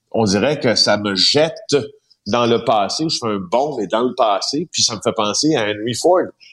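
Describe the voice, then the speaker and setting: A man's medium-pitched voice, a normal speaking voice, with ordinary pitch variation and a fairly slow pace, on a very clean recording with a silent background. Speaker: investigative journalist. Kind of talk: radio column chat.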